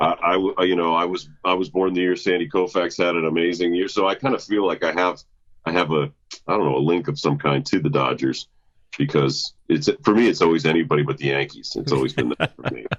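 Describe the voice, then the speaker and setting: Vocal fry runs through this man's very deep, low voice as he speaks at a fairly quick pace. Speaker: stadium public address announcer. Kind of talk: podcast interview answer. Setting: phone line.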